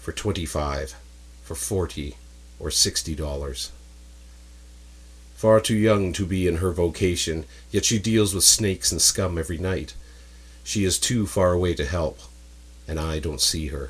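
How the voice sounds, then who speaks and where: A man with a very deep, low voice and vocal fry speaks at a moderate pace with lively intonation and long, frequent pauses, on a very clean recording with a silent background. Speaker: writer reading own story. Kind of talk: dramatic spoken word story reading.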